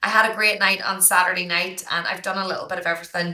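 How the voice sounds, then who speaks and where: Over noticeable background noise and audible room echo, a woman speaks in a monotone, flat intonation. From Ireland, County Down. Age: 30s. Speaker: high school teacher and podcaster. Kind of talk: podcast interview.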